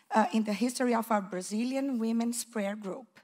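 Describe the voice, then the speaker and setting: Fairly high in pitch, a woman speaks in a somewhat breathy voice with fairly even intonation. The background is quiet. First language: not English. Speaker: preschool teacher. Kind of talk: testimony. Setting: church. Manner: nervous. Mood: warm, grateful. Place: church. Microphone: handheld.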